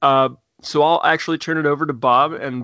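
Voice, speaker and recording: In a Midwestern American accent, a man speaks at a moderate pace with a fairly high pitch. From Indiana. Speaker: podcast host, tabletop gamer. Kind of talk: casual chat. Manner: halting.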